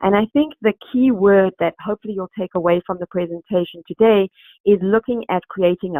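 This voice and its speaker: A woman in a South African accent talks at a fairly quick pace, her medium pitch showing ordinary variation. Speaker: recruitment company executive. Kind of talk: webinar presentation. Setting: online webinar. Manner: hesitant, many fillers.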